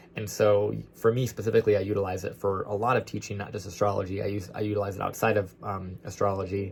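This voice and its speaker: Audible room echo surrounds a man talking very fast with hardly any pauses, his fairly low voice monotone and flat. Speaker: astrologer. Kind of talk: lecture. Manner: loud.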